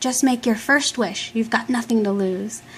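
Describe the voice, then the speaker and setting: A woman puts on a character voice, pitched fairly high and delivered at a moderate pace. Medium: read story.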